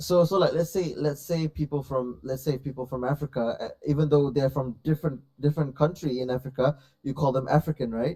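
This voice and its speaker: With a Malaysian accent, a man talks at a fairly quick pace in a fairly high pitch, his tone dark and mellow, his intonation fairly even, and the sound dry and close with no echo. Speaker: stream guest. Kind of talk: casual chat.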